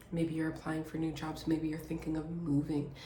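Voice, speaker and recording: A woman's very deep, low voice with audible room echo. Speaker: tarot reader. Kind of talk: channelled reading to viewers. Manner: stammering restarts.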